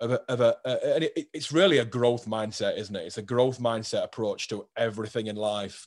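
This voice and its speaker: A man with a British accent at a moderate pace, hardly any pauses, over a quiet background. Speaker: podcast host. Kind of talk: casual interview chat.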